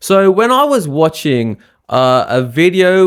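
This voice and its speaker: The man talks with ordinary pitch variation. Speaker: spirituality and science YouTuber. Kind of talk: casual explainer monologue.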